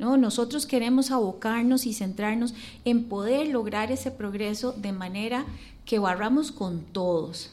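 A woman in a plain, everyday voice speaks at a fairly slow pace and fairly high pitch with ordinary pitch variation. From Costa Rica. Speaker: architect and mayoral candidate. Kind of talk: radio interview.

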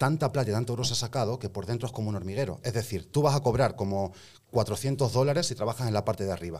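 A somewhat breathy man talks at a very fast pace. His pitch is medium, with ordinary variation. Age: 30s. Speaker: rapper. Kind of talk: casual chat.

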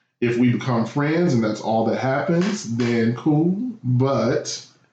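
With audible room echo, a man talks in a medium pitch. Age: 30s. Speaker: podcast guest. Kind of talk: casual chat.

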